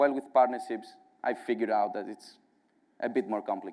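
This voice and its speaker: Medium in pitch and dark, mellow in tone, a man talks with a strong Greek accent. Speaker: partnerships director at a software company. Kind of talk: conference talk. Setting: stage with audience at a conference.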